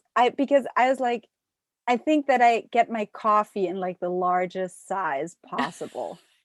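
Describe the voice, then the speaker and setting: A woman's fairly high voice with a German accent, fairly slow and with lively intonation, in a dry, close sound with no echo. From Germany. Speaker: podcast guest. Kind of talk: interview.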